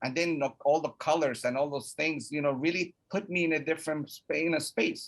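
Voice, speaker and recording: A man with a Spanish accent, fairly high-pitched and fairly even in intonation, at a fairly quick pace. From Mexico (Puebla), raised in New York from age 9. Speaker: college student support office director. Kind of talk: personal story in interview.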